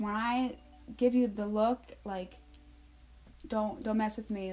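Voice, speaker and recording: A somewhat breathy woman speaks at a moderate pace, with medium pitch and ordinary pitch variation. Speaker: retail store manager and vlogger. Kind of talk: casual advice vlog. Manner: animated.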